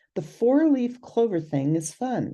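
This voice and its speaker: A woman's somewhat breathy, dark, mellow voice at medium pitch, in a Californian accent, fairly slow, with very wide pitch swings. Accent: California. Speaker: herbal medicine instructor. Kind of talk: educational video talk.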